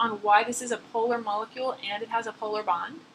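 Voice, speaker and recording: Noticeable background noise behind a woman's fairly high voice. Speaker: chemistry instructor. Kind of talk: lecture.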